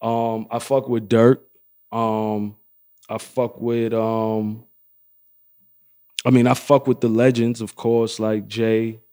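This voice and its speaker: A man with a New York accent speaks at a medium pitch in a dark, mellow tone. His delivery is very slow and monotone, flat in intonation, with long, frequent pauses. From Harlem, New York. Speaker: clothing brand owner. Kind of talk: interview answer. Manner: laid-back, casual.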